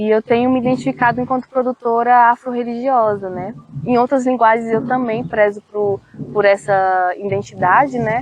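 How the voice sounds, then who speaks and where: A woman with a plain, everyday voice speaks at a fairly high pitch. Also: moderate pace. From Brazil, Federal District (Planaltina). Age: 20s. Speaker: cultural producer and poet. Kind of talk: interview.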